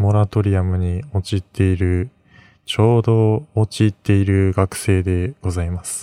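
In a very clean recording with a silent background and a dry, close sound with no echo, a man with a slight western Japanese accent speaks fairly slowly in a dark, mellow, fairly low voice with fairly even intonation. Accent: slight western Japanese (Kansai-like). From Mie Prefecture, western Japan. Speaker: student podcaster. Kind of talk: solo late-night radio-style monologue. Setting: at home, late at night. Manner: rambling, hesitant with fillers.

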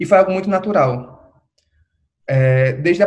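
A man speaks at a moderate pace, his voice somewhat breathy. His pitch varies in an ordinary way. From Recife, Brazil. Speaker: drag artist and postgraduate researcher. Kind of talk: casual interview.

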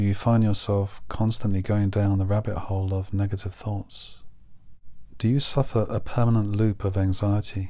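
A man's gentle, dark, mellow voice at a fairly low pitch, monotone and flat in intonation, at a moderate pace. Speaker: hypnotherapist and counsellor podcast host. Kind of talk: guided meditation. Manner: gentle, reflective, posing questions.

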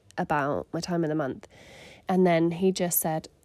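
In a southern English accent, a woman speaks fairly quickly at a fairly low pitch with a dark, mellow tone. Her intonation is monotone and flat, and the recording is very clean with a silent background. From southern England (Surrey). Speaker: podcast host, mother and church leader. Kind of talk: casual chat.

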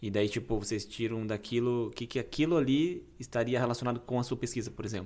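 A man's medium-pitched voice in a Brazilian accent, very fast with hardly any pauses and ordinary pitch variation. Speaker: podcast host. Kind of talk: casual interview chat.

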